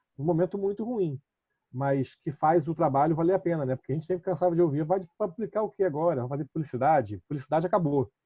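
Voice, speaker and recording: A man's very fast speech at a fairly high pitch. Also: ordinary pitch variation. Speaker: municipal communications official. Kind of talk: online panel discussion.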